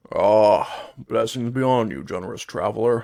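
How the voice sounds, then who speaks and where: A man puts on a raspy character voice at a medium pitch. He speaks at a moderate pace. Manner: grateful, humble.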